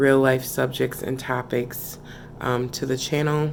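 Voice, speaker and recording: A woman speaks at a very slow pace with a very deep, low pitch. Her intonation is fairly even. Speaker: relationship vlogger. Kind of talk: casual vlog chat. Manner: talking low.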